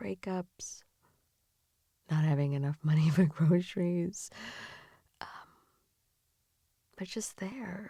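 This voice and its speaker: Fairly low in pitch, a woman speaks in a dark, mellow, gentle and soothing tone, somewhat breathy, with ordinary pitch variation and long, frequent pauses. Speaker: ASMR / comfort and sleep-aid creator. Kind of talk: comforting ASMR improv for grieving pet owners. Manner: soft, gentle, soothing, empathetic.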